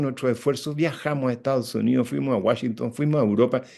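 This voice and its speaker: His delivery comes at a fairly quick pace. The man's tone is dark and mellow. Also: quiet background. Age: 70s. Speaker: environmental activist. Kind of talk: panel talk.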